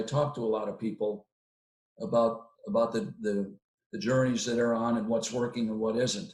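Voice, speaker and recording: At a moderate pace and medium pitch, a man speaks with ordinary pitch variation. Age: 60s. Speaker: training evaluation consultant. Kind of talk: interview.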